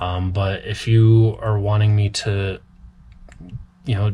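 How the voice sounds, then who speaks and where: A man with a fairly low pitch, somewhat breathy, monotone and flat, at a fairly slow pace. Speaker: cobbler. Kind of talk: tutorial. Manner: talkative, casual.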